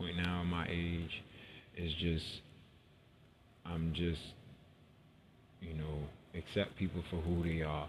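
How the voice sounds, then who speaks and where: Audible room echo surrounds a man speaking at a fairly slow pace in a very deep, low pitch. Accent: American. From New York City. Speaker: podcaster. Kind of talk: personal monologue.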